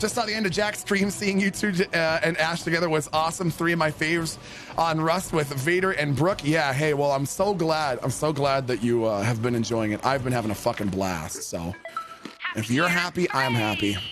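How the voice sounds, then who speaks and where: Against noticeable background noise, a man speaks at a moderate pace in a fairly high pitch with lively intonation and an animated tone. His loudness stays very even. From Canada, Ontario. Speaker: gaming streamer. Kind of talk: live gaming stream chat. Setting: home basement streaming setup.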